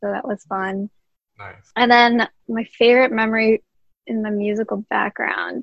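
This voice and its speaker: Her fairly high voice stays monotone and flat while her loudness swings widely, the woman keeping a moderate pace. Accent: American. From New Jersey, Jersey City. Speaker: veterinarian and musician. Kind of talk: podcast interview.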